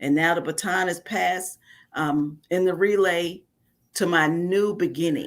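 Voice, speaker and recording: A woman with an American accent and a plain, everyday voice speaks at a fairly slow pace and fairly low pitch, with ordinary pitch variation, on a very clean recording with a silent background. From New York (Bronx). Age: 60s. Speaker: author, preacher's wife. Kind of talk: interview.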